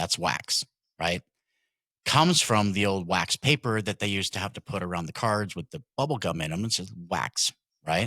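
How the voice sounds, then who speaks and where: Loud and bright with a sharp tone, a man's fairly low voice moves at a moderate pace with lively intonation, in a dry, close sound with no echo on a very clean recording with a silent background. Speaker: card breaker and podcast host. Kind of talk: casual chat.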